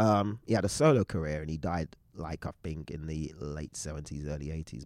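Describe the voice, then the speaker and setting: A man with a London accent and a very deep, low pitch on a very clean recording with a silent background. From England, East London. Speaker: DJ and creative collective co-founder. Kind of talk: casual chat.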